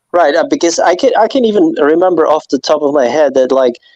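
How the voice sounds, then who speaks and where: With a non-native accent, a man talks at a fairly quick pace and ordinary pitch variation. The sound is dry and close, with no echo. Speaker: panel guest. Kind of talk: casual debate. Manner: halting, many restarts.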